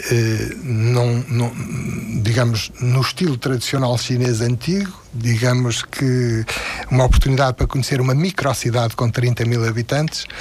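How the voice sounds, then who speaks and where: A man speaks at a fairly slow pace with very even loudness. Noticeable background noise runs underneath. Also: medium pitch for a man, fairly even intonation. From Portugal. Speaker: retired philosophy teacher. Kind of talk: radio interview. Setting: studio.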